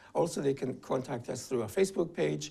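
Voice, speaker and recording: Talking at a fairly quick pace, a man has a dark, mellow tone at a medium pitch. Vocal fry runs through his voice. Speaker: advocacy group director. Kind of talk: interview.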